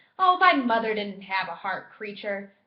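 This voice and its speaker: A put-on character voice moves at a moderate pace. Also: woman, medium pitch for a woman. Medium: read story. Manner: impatient, cold.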